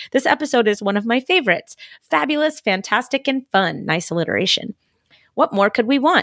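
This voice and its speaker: A woman with a fairly high pitch talks at a fairly quick pace with very wide pitch swings, sounding dry and close with no echo in a very clean recording over a silent background. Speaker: podcast host. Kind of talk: casual chat.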